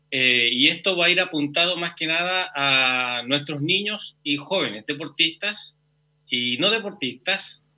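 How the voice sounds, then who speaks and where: Speaking at a fairly slow pace, the man has a fairly high pitch and ordinary pitch variation. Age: 40s. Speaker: physical education teacher. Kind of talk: interview.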